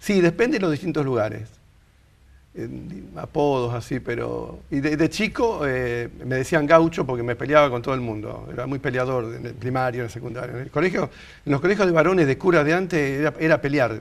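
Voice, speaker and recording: Speaking at a fairly quick pace, a man with a plain, everyday voice uses medium pitch and lively intonation. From Argentina, Rosario. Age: 60s. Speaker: interview guest. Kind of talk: casual interview.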